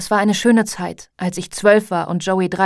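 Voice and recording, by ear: Someone is reading aloud in a natural voice with fairly even intonation. The background is quiet.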